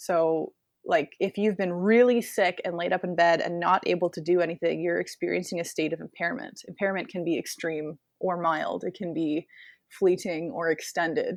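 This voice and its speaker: A woman with a plain, everyday voice speaks at a moderate pace, her pitch fairly low and her intonation fairly even, in a dry, close sound with no echo and a quiet background. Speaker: contortionist. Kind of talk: interview conversation.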